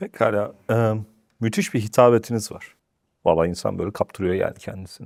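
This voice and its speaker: A normal speaking voice from a man, fairly low in pitch, at a moderate pace, with fairly even intonation and big swings in loudness. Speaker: interview show host. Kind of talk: interview. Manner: formal.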